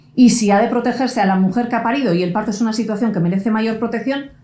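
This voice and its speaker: A woman with a Basque accent speaks with ordinary pitch variation over audible room echo. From Basque Country. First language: Basque (speaking Spanish). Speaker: lawyer and conference speaker. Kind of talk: conference talk.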